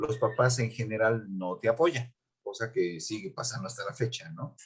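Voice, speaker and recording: Speaking with a central Mexican accent, a man talks at a fairly slow pace in a somewhat breathy voice. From Mexico City, Coyoacán. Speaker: music teacher and pianist. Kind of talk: interview. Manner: halting, many fillers and repeats.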